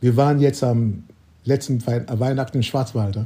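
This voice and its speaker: This man talks at a fairly slow pace in a medium-pitched, somewhat breathy voice with a dark, mellow tone and fairly even intonation. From Nigeria. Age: 70s. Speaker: photographer. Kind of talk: interview. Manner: halting.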